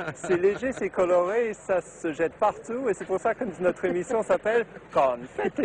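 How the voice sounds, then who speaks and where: Noticeable background noise fills the clip. A man with a high voice speaks at a fairly slow pace. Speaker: TV and radio presenter. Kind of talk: interview answer. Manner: lively, animated.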